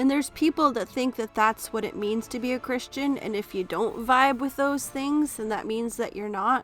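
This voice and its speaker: A high-pitched woman with an American accent at a moderate pace, ordinary pitch variation, hardly any pauses, and music in the background. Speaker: vlogger. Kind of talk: personal vlog monologue.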